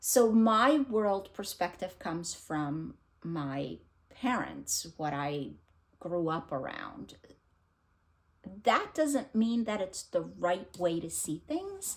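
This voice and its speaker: Very slowly and with very wide pitch swings, a woman with a non-native accent speaks in a fairly low pitch. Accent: foreign accent, noticeable. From abroad, immigrated at thirteen. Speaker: book vlogger. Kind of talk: casual vlog talk. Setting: home recording, unedited. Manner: casual, hesitant with many fillers.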